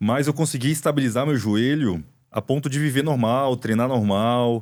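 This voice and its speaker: In a very clean recording with a silent background, a man speaks at a medium pitch and moderate pace with ordinary pitch variation. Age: 40s. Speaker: orthopedic doctor, podcast host. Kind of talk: casual interview chat. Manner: conversational, hesitant with repetitions.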